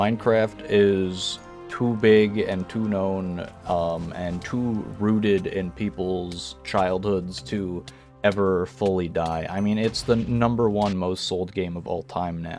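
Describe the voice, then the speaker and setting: Over music in the background, a man speaks very slowly in a very deep, low voice with ordinary pitch variation. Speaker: gamer, video game commentator. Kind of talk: casual talk to camera.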